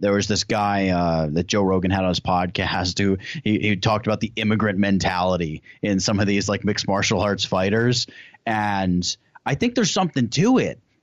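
A man with an American accent and a normal speaking voice talks at a moderate pace and a fairly low pitch. His loudness stays very even over a quiet background. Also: fairly even intonation. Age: 20s. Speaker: YouTuber. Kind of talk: casual chat.

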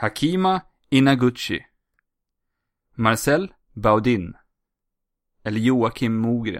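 A man speaks very slowly, with long, frequent pauses. His medium-pitched voice has lively intonation. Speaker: podcast host. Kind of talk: casual chat. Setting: remote recording.

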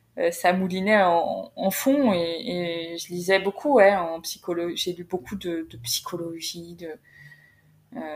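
Very slow and with hardly any pauses, a woman's fairly low voice moves through big swings in loudness. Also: ordinary pitch variation. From northern France (Creil, Oise). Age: 30s. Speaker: career coach, company founder. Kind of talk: interview. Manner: halting, many repetitions and fillers.

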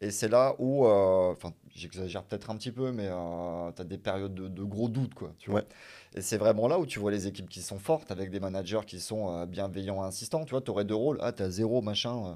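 A normal speaking voice from a man with a fairly low pitch, at a fairly quick pace, with ordinary pitch variation, big swings in loudness and a very clean recording with a silent background. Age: 30s. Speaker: business developer. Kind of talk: casual interview on livestream.

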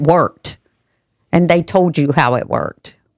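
In a dry, close recording with no echo, a woman uses a normal speaking voice at a moderate pace and a fairly low pitch. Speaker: podcast host. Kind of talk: casual chat.

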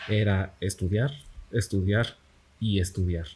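A man speaks at a fairly low pitch in a dark, mellow tone that is somewhat breathy. His intonation stays fairly even. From Mexico, Campeche. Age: 20s. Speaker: software developer and teacher. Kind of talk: casual interview. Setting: café.

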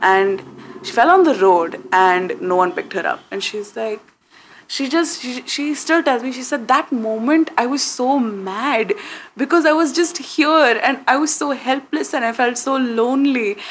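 Over noticeable background noise, a woman speaks at a high pitch with lively intonation. Her pace is moderate, with big swings in loudness. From India. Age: 20s. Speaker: content creator. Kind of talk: interview.

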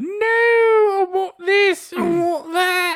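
A whiny put-on character voice at an extremely high pitch, in an English accent.

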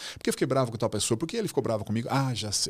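A man speaks in an animated tone at a very fast pace. The recording is very clean, with a silent background. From Brazil. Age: 60s. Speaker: author and former executive. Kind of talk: casual interview conversation.

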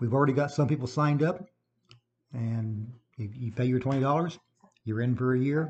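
A man talks at a medium pitch with an American accent and ordinary pitch variation. His voice is somewhat breathy. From Illinois. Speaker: local radio host and writer. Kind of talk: casual radio show. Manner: fast.

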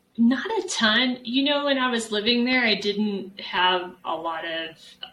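With an American accent and ordinary pitch variation, a woman speaks over noticeable background noise. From Texas, San Antonio. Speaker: professor. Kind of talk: interview.

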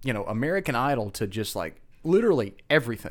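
A man's pitch swings very widely in a very clean recording with a silent background. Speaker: broadcast meteorologist podcast host. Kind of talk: casual podcast chat. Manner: halting, many filler words.

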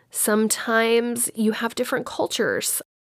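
A woman with an American accent speaks at a fairly slow pace and a fairly high pitch. She has an unremarkable speaking voice, on a very clean recording with a silent background. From Texas, Dallas-Fort Worth. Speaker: podcast host. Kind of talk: solo monologue podcast.

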